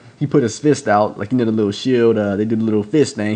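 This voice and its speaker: Speaking at a very fast pace, a man uses a medium pitch. His pitch variation is ordinary. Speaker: wrestling reviewer. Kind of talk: casual video review. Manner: halting, many fillers.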